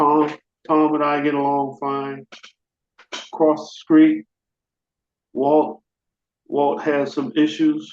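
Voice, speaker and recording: At a very slow pace, a man with a fairly high pitch speaks in a monotone, flat way, leaving long, frequent pauses. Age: 70s. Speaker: basketball coach. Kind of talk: interview. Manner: repetitive, conversational.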